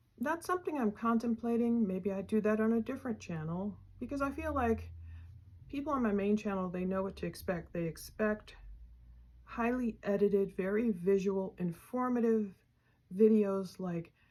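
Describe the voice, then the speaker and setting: Her voice is fairly high, dark and mellow, and somewhat breathy as the woman speaks at a moderate pace with ordinary pitch variation. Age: 50s. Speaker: true crime YouTuber. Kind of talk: casual chat.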